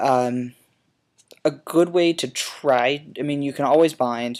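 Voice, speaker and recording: Fairly high in pitch, a man talks with fairly even intonation in a very clean recording with a silent background. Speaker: video blogger. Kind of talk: casual vlog monologue. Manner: hesitant, many fillers.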